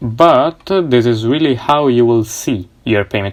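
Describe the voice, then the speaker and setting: Someone with a non-native accent speaks at a fairly slow pace on a very clean recording with a silent background. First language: not English. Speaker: coding tutorial youtuber. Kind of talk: tutorial. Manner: halting, many fillers.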